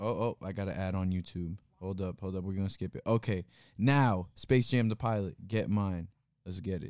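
A man speaks in a plain, everyday voice at a moderate pace. His pitch is fairly low, with ordinary variation. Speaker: podcast host. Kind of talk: casual chat. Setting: livestream in a room with guests.

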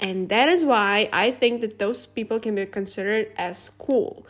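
A woman speaks with a non-native accent at a fairly high pitch, with ordinary pitch variation, on a very clean recording with a silent background. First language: not English. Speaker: podcast host. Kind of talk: solo casual monologue. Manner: giggly, many fillers.

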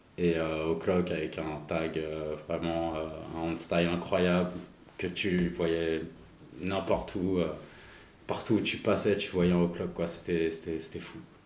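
A man speaks very slowly in a very deep, low voice with monotone, flat intonation, and audible room echo surrounds him. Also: long, frequent pauses. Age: 40s. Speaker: graffiti artist. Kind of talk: casual interview.

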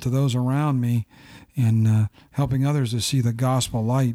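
A man speaks in a dark, mellow tone with an American accent and monotone, flat intonation. The recording is very clean, with a silent background. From Ohio. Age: 50s. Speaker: pastor's father, lay missionary. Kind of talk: casual chat. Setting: small room, seated close at a table.

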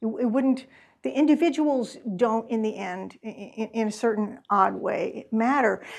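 A woman speaks in a normal speaking voice, fairly high in pitch with ordinary pitch variation, against a quiet background. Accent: American. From US Midwest. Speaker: author. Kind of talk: book talk Q&A. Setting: in-person event with audience.

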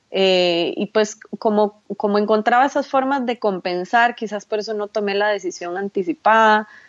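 Medium pitch from a woman, ordinary pitch variation, and a moderate pace. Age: 40s. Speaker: online seller, entrepreneur. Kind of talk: interview.

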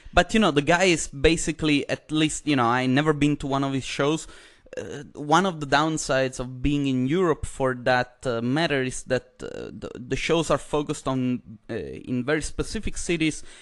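A man with an Italian accent, fairly high in pitch, at a moderate pace and with ordinary pitch variation. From Italy. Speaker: podcast host and comedian. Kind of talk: casual chat.

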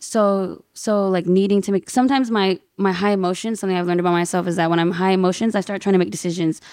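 At a fairly quick pace, a woman speaks with medium pitch and fairly even intonation. The recording is very clean, with a silent background. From Inland Empire, Southern California. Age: 20s. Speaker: DJ. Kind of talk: casual chat.

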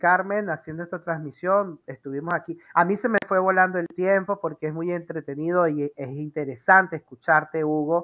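Against a quiet background, a woman with an unremarkable speaking voice talks at a moderate pace and fairly low pitch, with fairly even intonation and hardly any pauses. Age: 40s. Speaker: interview show host. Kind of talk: casual interview. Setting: live video stream.

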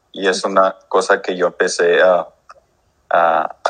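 A man speaking at a very slow pace. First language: English (speaking Spanish). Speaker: musician. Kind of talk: interview. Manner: halting.

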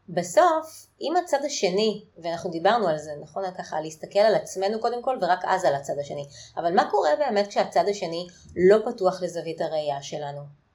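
A woman with a normal speaking voice talks at medium pitch and a moderate pace, her intonation lively. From Israel. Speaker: podcast host. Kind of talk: interview.

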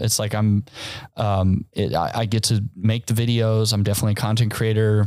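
Speaking at a fairly quick pace, a man uses a normal speaking voice with medium pitch. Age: 30s. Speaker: musician. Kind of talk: casual chat.

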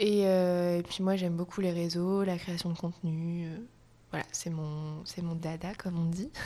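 A woman with a fairly low pitch speaks slowly-ish, at a fairly slow pace, in a dark, mellow tone with monotone, flat intonation. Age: 20s. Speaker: yoga teacher. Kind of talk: casual chat.

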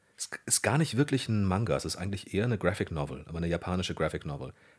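Very deep and low with vocal fry, a man's voice races at a very fast pace with lively intonation. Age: 30s. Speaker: voice actor and dubbing director. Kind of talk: casual interview.

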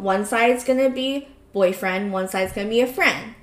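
Using an ordinary speaking voice, a woman speaks at a moderate pace with a fairly high pitch and ordinary pitch variation. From US, Cambodian-American community. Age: 20s. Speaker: podcast co-host. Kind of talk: casual chat.

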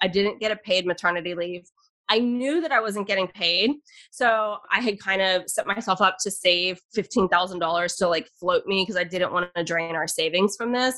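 Against a quiet background, a woman at medium pitch speaks at a moderate pace in a bright, sharp tone with ordinary pitch variation. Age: 40s. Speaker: investing educator and podcaster. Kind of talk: interview.

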